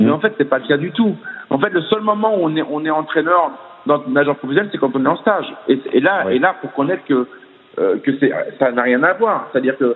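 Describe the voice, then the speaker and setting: Against noticeable background noise, a man talks at a fairly quick pace, his fairly high pitch moving with lively intonation. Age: 40s. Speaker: swimming coach. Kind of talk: interview. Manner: halting, many fillers and repetitions.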